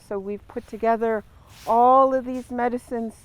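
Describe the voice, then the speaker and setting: With a Great Lakes accent, the speaker keeps a monotone, flat intonation at a moderate pace. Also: woman. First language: Ojibwe. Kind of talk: ceremonial teaching. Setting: outdoors in a garden.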